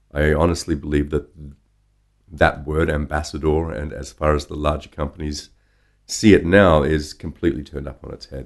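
A man speaks at a moderate pace with a very deep, low pitch, vocal fry and monotone, flat intonation. His loudness swings widely. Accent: Australian. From Australia (Brisbane). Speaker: drinks industry professional and brand ambassador. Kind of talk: interview conversation.

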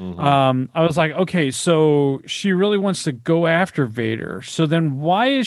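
A normal speaking voice from a man, fairly high in pitch, with lively intonation and a fairly slow pace. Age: 50s. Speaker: podcast guest. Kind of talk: casual chat.

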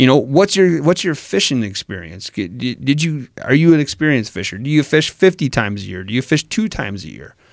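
A medium-pitched man with an Upper Midwest accent talks at a fairly quick pace, with big swings in loudness and very wide pitch swings. The recording is very clean, with a silent background. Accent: Wisconsin, Upper Midwest. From Wisconsin. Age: 30s. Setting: studio. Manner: animated, energetic.

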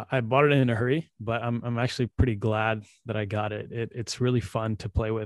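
In a dry, close sound with no echo, a man with a plain, everyday voice at medium pitch speaks at a fairly quick pace with fairly even intonation and hardly any pauses. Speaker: podcast host. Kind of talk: casual chat. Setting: video call. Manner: casual.

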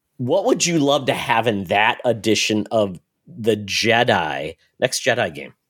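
In a very clean recording with a silent background, a man at medium pitch speaks at a fairly slow pace with vocal fry and very wide pitch swings. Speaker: podcast host. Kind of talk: casual chat.

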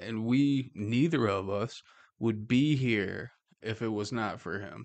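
Here a man has an unremarkable speaking voice with medium pitch and ordinary pitch variation. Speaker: podcast host. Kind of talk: casual chat. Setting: office studio. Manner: casual, joking.

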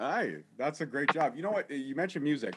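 A man with an animated tone and ordinary pitch variation. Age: 30s. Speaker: podcast host. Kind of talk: interview. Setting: studio.

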